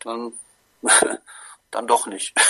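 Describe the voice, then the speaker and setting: Dry, close sound with no echo frames a man as he talks. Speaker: sports fan guest. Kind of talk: casual chat. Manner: halting.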